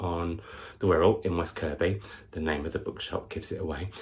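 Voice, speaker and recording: A man's very deep, low, somewhat breathy voice, monotone and flat, at a fairly quick pace. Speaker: book vlogger. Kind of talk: casual vlog chat. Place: home room. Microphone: camera far.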